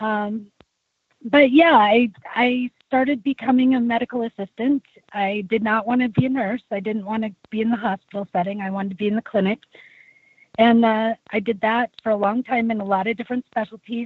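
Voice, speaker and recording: Somewhat breathy, a woman speaks at a fairly quick pace and a fairly high pitch. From US Midwest. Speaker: whistleblower, speaker and advocate. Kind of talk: interview. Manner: halting, many fillers.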